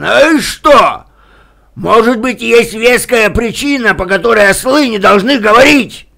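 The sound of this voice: His voice is a put-on character voice, pitched extremely high for a man. The delivery comes at a fairly slow pace.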